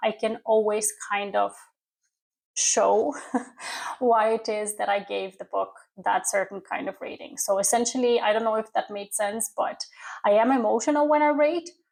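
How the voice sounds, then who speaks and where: This woman's voice has a fairly high pitch. A silent background leaves the recording very clean. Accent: non-native. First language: not English. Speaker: book youtuber. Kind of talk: casual chat.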